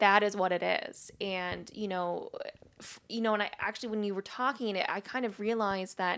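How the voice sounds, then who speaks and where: A woman with a medium pitch and an unremarkable speaking voice is heard in a very clean recording with a silent background. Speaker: podcast host. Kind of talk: casual interview. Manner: excitable.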